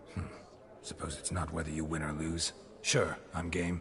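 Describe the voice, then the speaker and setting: A man puts on a character voice with a very deep, low pitch at a moderate pace. Background noise is clearly heard. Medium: machinima. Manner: terse, dry.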